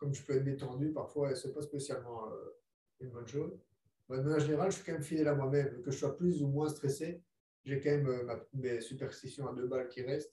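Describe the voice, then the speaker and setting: A man talks at a fairly quick pace with a fairly high pitch and a dark, mellow tone. His voice is somewhat breathy, with fairly even intonation. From Belgium. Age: 20s. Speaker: professional boxer. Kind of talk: casual chat.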